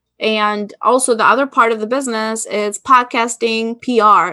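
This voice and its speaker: Bright and sharp in tone, a woman with an Albanian accent speaks at a fairly high pitch with fairly even intonation, and the sound is dry and close with no echo. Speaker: business consultant. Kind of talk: interview.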